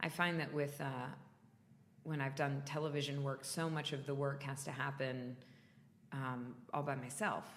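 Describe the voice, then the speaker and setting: Audible room echo surrounds a woman speaking at a moderate pace with a very deep, low pitch and fairly even intonation. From US South, North Florida. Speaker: stage and TV actor. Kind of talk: interview. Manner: loud.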